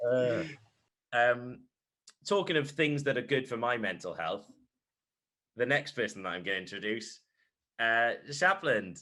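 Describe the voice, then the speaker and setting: A man with a Welsh accent speaks at a fairly slow pace in a medium pitch, his tone bright and sharp, his intonation lively, and his speech broken by long, frequent pauses. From Wales. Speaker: sports podcast host, primary school teacher. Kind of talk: casual chat. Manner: hesitant, many fillers.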